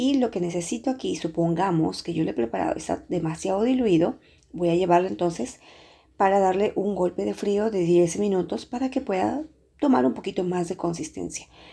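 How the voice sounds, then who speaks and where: Against a quiet background, a woman with a dark, mellow tone and vocal fry talks at a moderate pace and fairly low pitch, her intonation lively. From Peru. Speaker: pastry chef and cooking youtuber. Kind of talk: tutorial. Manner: hesitant with frequent filler sounds.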